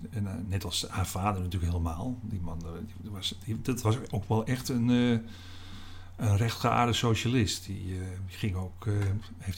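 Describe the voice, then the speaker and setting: At a moderate pace, the voice is somewhat breathy, with fairly even intonation. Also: man. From Netherlands, North Holland (Alkmaar/Heiloo). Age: 60s. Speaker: newspaper columnist. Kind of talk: interview. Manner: halting.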